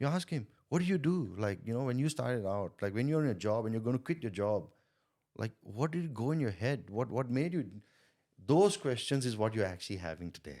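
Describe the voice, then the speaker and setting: A man's medium-pitched voice with a non-native accent, dark and mellow in tone, with very wide pitch swings, at a fairly quick pace, on a very clean recording with a silent background. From India. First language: not English. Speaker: sales coach and entrepreneur. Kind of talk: podcast interview. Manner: repetitive, halting starts.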